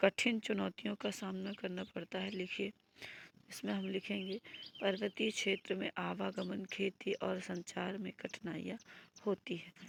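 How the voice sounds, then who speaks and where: Speaking very slowly with vocal fry, a woman has a medium pitch and monotone, flat intonation in a dry, close sound with no echo. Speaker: teacher. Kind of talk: tutorial. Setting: online video class.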